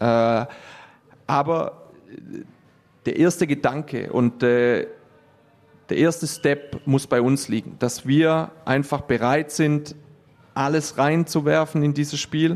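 At a very slow pace with long, frequent pauses, a man speaks in a fairly high pitch, his loudness very even and his intonation fairly even. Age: 30s. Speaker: handball coach and teacher. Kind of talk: interview. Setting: sports hall. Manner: halting, many fillers.

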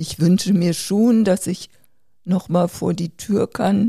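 A woman speaks at a fairly slow pace with a fairly low pitch and vocal fry. Her tone is dark and mellow, and the sound is dry and close with no echo. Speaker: seriously ill COPD patient, podcast co-host. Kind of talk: casual family conversation.

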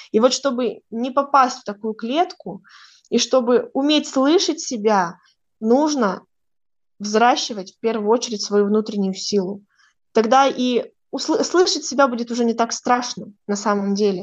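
A high-pitched woman, fairly slow with long, frequent pauses and ordinary pitch variation, against a quiet background. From northern Kazakhstan. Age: 20s. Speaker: astrologer. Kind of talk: interview.

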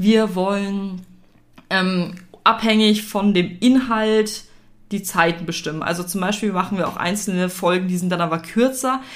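This is a normal speaking voice from a woman at medium pitch. She talks at a fairly slow pace with fairly even intonation. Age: 20s. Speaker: podcast co-host, student and blogger. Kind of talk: casual chat.

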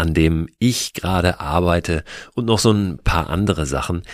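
The recording is very clean, with a silent background and a dry, close sound with no echo. A man speaks at a very deep, low pitch with ordinary pitch variation. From Hamburg, Germany. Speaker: podcast host. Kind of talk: scripted narration.

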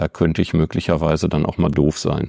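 Very clean audio against a silent background, carrying a man's dark, mellow tone. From Ruhr area, Bochum. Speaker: chamber of crafts executive. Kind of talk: interview.

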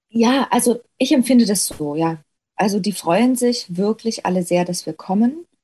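A woman with a fairly high pitch and a dark, mellow tone speaks at a moderate pace, somewhat breathy, her intonation lively. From Saxony, Erzgebirge (Stollberg). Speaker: actress. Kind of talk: interview conversation.

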